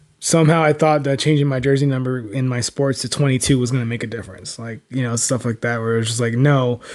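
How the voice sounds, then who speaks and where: The man speaks at a very fast pace, with a medium pitch and fairly even intonation. The background is quiet. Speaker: podcast host. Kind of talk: casual podcast conversation. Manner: halting, many fillers.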